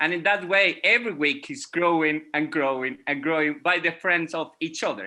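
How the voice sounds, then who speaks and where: The speaker has a Venezuelan accent and a bright, sharp tone, talking at a moderate pace with hardly any pauses. Pitch variation is ordinary, and the background is quiet. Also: man, fairly high pitch for a man. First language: Spanish. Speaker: music educator. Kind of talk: panel discussion. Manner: halting.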